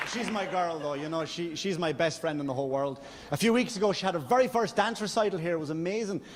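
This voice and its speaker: A man with an Irish accent talks very fast at a high pitch with lively intonation, amid noticeable background noise and audible room echo. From Ireland. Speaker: stand-up comedian. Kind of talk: stand-up. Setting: stage with audience. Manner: halting.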